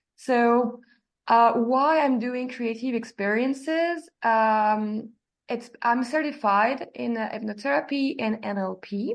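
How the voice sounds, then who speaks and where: Against a quiet background, a woman with a French accent speaks at a very slow pace and a fairly high pitch. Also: ordinary pitch variation. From France, Normandy. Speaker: immersive art expert and hypnotherapist. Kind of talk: podcast interview. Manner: halting, many fillers.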